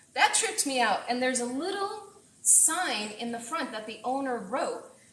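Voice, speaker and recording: A woman speaks at a high pitch with very wide pitch swings. Noticeable background noise and audible room echo are present. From Puerto Rico. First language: Spanish. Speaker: chef. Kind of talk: live cooking stream. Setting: home kitchen. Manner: casual and chatty.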